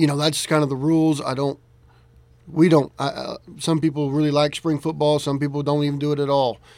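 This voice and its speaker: A man speaks in a normal speaking voice at a fairly high pitch. His pace is moderate. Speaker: high school football coach. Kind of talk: radio interview.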